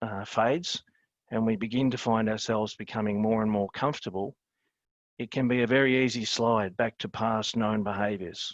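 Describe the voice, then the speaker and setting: A man with an Australian accent at a medium pitch, with fairly even intonation and a moderate pace, in a dry, close sound with no echo over a quiet background. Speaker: webinar panelist. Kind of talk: webinar presentation. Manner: hesitant, many fillers.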